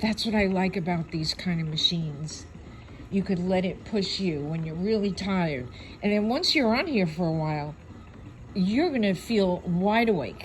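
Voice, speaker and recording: Speaking at a moderate pace, the voice is somewhat breathy with lively intonation. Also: woman, medium pitch for a woman. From New York City. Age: 70s. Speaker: online video host. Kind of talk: product review.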